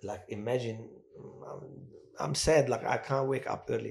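A somewhat breathy man at a fairly slow pace, with long, frequent pauses. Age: 60s. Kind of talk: testimony in a casual interview. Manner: emotional and animated.

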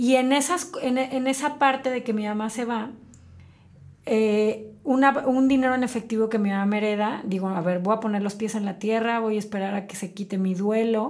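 A normal speaking voice from a woman, pitched fairly high, moderate in pace, with ordinary pitch variation. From Mexico, Celaya, Guanajuato. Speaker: entrepreneur, tea shop franchise owner. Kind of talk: interview storytelling.

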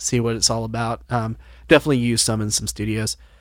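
A man with an ordinary speaking voice and medium pitch talks at a fairly quick pace on a very clean recording with a silent background. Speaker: podcast host, music producer. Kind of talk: casual chat. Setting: home studio.

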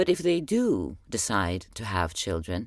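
A woman with an Arabic accent speaks with very wide pitch swings in a very clean recording with a silent background. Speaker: podcast host. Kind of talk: personal spoken journal monologue.

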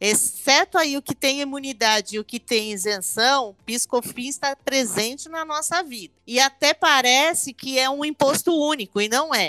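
A raised, projected voice with a bright, sharp tone and ordinary pitch variation moves at a moderate pace with hardly any pauses. The sound is dry and close with no echo, on a very clean recording with a silent background. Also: woman, high pitch for a woman. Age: 50s. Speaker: tax lawyer. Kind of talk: podcast interview.

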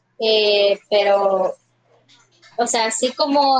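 A woman speaks with fairly even intonation. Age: 20s. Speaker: psychology student. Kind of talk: casual interview.

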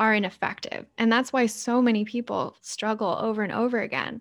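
A plain, everyday voice from a woman at a moderate pace, fairly high in pitch with fairly even intonation, on a very clean recording with a silent background. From Montreal, Canada. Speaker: health coach. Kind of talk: guided exercise; interview.

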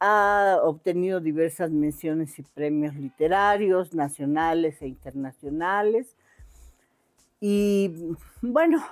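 A woman's fairly low-pitched voice, very slow in pace, with ordinary pitch variation and very even loudness, on a very clean recording with a silent background. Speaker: book podcast co-host. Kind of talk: casual chat.

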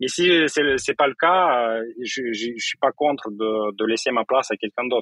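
Recorded dry and close with no echo, a man speaks at a medium pitch in a bright, sharp tone with ordinary pitch variation. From Moldova. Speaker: tech startup co-founder and CTO. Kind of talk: interview. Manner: halting.

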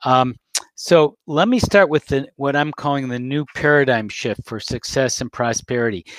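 With an ordinary speaking voice, a man at fairly high pitch talks at a moderate pace and shows ordinary pitch variation. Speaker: podcast host. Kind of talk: interview.

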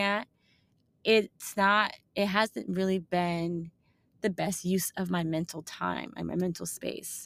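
On a very clean recording with a silent background, the speaker goes at a fairly slow pace with fairly even intonation. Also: woman. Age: 30s. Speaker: podcast host. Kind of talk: casual monologue. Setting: office corner.

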